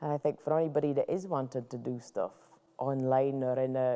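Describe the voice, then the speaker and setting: With a Shetland accent, a woman speaks at a moderate pace in a very deep, low pitch, her dark, mellow tone held to a monotone, flat intonation. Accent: broad Shetland. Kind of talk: interview answer.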